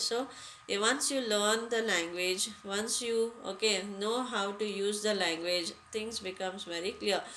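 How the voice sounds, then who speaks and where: Heard with audible room echo, a woman with an Indian accent speaks at a fairly slow pace, medium pitch and fairly even intonation. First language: Hindi. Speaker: English teacher. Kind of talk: lecture. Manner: halting, many fillers.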